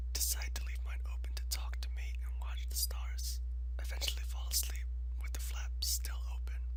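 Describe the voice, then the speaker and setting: Amid noticeable background noise, the words are whispered at a moderate pace. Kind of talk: ASMR scary story reading.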